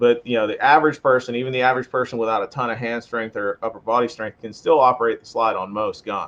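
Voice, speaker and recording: An American man with a medium pitch rattles along at a very fast pace, hardly pausing, his intonation fairly even. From western Pennsylvania. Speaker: firearms instructor. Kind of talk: podcast interview.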